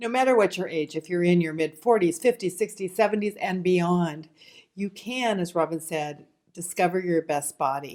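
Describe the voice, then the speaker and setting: Using an ordinary speaking voice, a woman with a fairly low pitch talks at a moderate pace with ordinary pitch variation. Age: 60s. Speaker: former nurse and diet author. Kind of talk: presentation.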